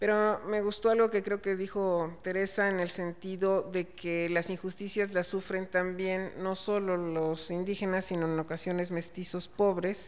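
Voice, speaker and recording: Noticeable background noise sits behind a woman speaking at a medium pitch. Her intonation is monotone and flat, her pace fairly slow, with hardly any pauses. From Chiapas, Mexico. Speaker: panel moderator. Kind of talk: panel discussion.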